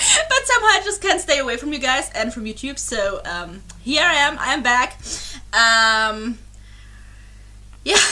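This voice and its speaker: A woman with a German accent projects a raised, high-pitched voice with a bright, sharp tone, very wide pitch swings, a fairly slow pace, and long, frequent pauses. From Germany. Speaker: YouTube reaction creator. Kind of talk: casual vlog chat. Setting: home recording with webcam. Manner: halting, many fillers and restarts.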